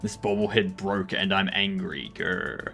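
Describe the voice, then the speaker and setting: Over music in the background, a man growls through a put-on character voice at a fairly low pitch and a fairly slow pace. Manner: angry, growling.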